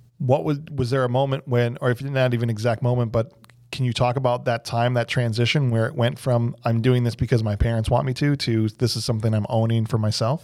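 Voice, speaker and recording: In an ordinary speaking voice, a man talks at a moderate pace in a medium pitch with fairly even intonation. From northern Illinois. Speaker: podcast host, local youth missionary. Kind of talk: casual faith interview.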